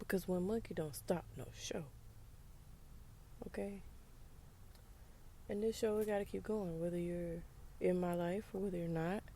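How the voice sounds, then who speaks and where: A woman's fairly low voice at a moderate pace, with fairly even intonation and long, frequent pauses. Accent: American. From US South, rural. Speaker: podcaster. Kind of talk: casual monologue. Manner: casual, conversational.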